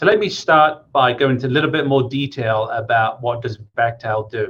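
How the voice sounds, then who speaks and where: A man with an English accent speaks at a medium pitch and moderate pace with ordinary pitch variation. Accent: British (English). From England, Coventry (West Midlands). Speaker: engineering project manager. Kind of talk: career talk to students.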